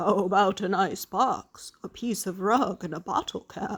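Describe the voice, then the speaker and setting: A raspy, female-sounding put-on character voice at a middle pitch and a moderate pace. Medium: read story.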